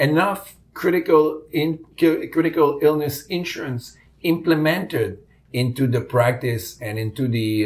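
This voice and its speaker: A somewhat breathy man with a Quebec accent, lively intonation and a moderate pace. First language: French. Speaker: insurance executive. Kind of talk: interview. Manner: hesitant, many fillers.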